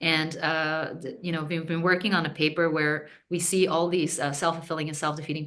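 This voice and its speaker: A woman's very deep, low voice at a fairly quick pace, fairly even in intonation, with audible room echo. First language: not English. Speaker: postdoctoral researcher. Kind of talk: casual chat. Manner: halting, many fillers and repetitions.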